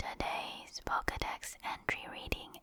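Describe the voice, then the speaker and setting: A whisper delivered at a very slow pace. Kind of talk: ASMR whispered reading.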